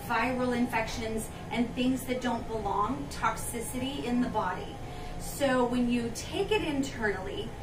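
Noticeable background noise accompanies a woman with a high pitch. She speaks at a fairly slow pace with ordinary pitch variation. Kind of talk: informational talk to camera. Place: shop. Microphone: camera far.

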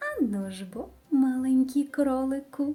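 Using a put-on character voice, a woman talks at a fairly slow pace in a high, shrill pitch. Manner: screeching, teasing.

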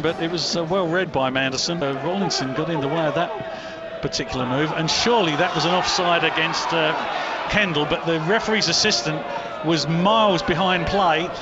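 The voice has an animated tone, with noticeable noise in the background. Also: man. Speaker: match commentator. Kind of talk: live radio-style football commentary. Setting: stadium commentary position at the ground. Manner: animated, fast, rising excitement on goals; fluent play-by-play delivery with a breathless rhythm.

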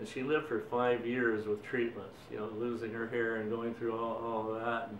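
A man with an American accent speaks at a medium pitch, with light background noise and audible room echo. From Boston, Massachusetts. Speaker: war veteran. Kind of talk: interview answer. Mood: reflective, somber at times. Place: home room.

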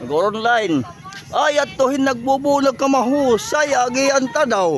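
A man speaks at a very slow pace with an extremely high pitch and ordinary pitch variation. Music plays in the background. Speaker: vlogger. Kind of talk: walking vlog. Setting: outdoors. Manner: animated.

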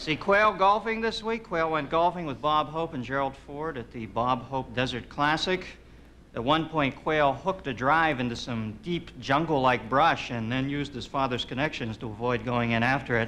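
With light background noise, the speaker has a bright, sharp tone, lively intonation and a moderate pace. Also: man. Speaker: talk show host. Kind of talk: comedy monologue. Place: stage.

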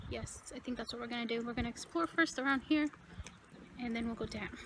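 Through noticeable background noise, a woman speaks fairly quickly at a high pitch. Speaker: travel vlogger. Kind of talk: casual vlog chat. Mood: curious, slightly spooked. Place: open country. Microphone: phone near.

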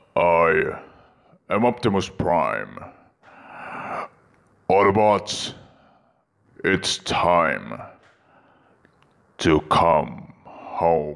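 A man's raspy put-on character voice, very deep and low, at a very slow pace with long, frequent pauses. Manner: solemn, commanding.

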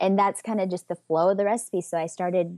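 Speaking very fast in a Southern US accent, a woman with a dark, mellow tone keeps her intonation fairly even, and the sound is dry and close with no echo against a quiet background. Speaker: communication coach and business owner. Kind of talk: interview.

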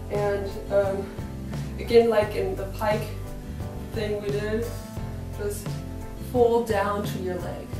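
Clear music plays in the background as a woman speaks at a very slow pace, with audible room echo. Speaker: professional dancer and fitness instructor. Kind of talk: stretching tutorial talk to camera. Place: home room. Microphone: camera far.

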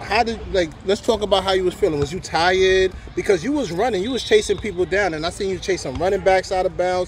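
Over noticeable background noise, a man with a high pitch speaks at a very fast pace with hardly any pauses. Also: ordinary pitch variation. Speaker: youth sports podcast co-host. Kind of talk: post-game interview. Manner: animated.

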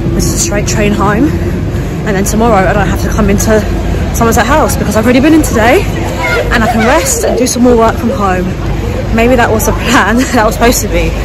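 Over crowd noise in the background, a woman talks at a very fast pace with ordinary pitch variation. The sound is dry with no echo. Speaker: vlogger. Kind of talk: casual vlog chat. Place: street. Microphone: phone near.

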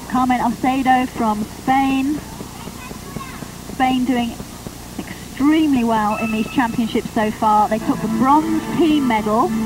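Music sits in the background of a dry recording with no echo. A woman with a high pitch speaks with fairly even intonation and long, frequent pauses. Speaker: sports commentator. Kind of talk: commentary.

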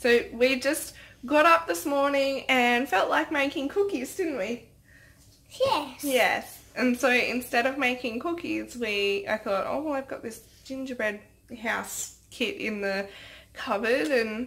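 A high-pitched woman's voice at a fairly slow pace. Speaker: parent vlogger. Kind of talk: casual vlog chat. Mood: cheerful, relaxed. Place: kitchen. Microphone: phone near.

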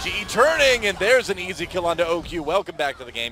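A man talks at a high pitch with lively intonation. Noticeable background noise runs behind him. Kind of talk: esports play-by-play commentary. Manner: fast, excitable, calling fights as they unfold.

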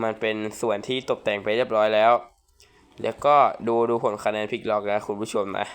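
A man's fairly low-pitched voice with monotone, flat intonation. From Thailand, Prachuap Khiri Khan. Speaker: gaming youtuber. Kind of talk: gameplay commentary.

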